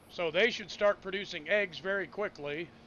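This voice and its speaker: A man speaks loudly at a high pitch. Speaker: gaming streamer. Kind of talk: casual live-stream commentary.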